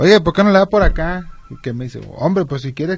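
A man's voice over noticeable background noise. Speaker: radio co-host. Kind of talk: radio talk show. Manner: halting.

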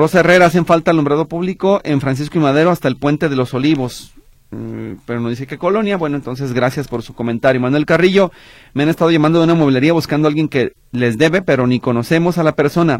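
A man speaks at a very fast pace, his pitch fairly high. His pitch variation is ordinary. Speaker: radio host. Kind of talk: call-in radio show.

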